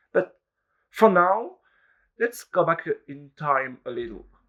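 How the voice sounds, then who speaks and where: Against a quiet background, a man with a French accent speaks at a fairly slow pace in a high pitch with a bright, sharp tone. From France, Charente-Maritime. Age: 20s. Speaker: engineering student. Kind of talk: video resume, scripted self-presentation.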